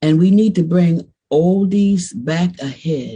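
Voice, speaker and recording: A woman with a dark, mellow tone and a somewhat breathy voice speaks at a very slow pace with lively intonation. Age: 70s. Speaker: bass player. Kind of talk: casual interview.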